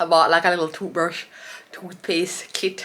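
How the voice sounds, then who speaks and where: A woman at a fairly low pitch, talking at a fairly quick pace over noticeable background noise. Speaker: vlogger. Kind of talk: casual vlog monologue. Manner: casual, animated.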